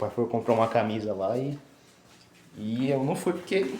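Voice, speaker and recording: The voice is somewhat breathy with a dark, mellow tone, moving at a moderate pace with lively intonation. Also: man. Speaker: vlogger. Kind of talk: casual vlog. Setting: at home. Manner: casual, halting.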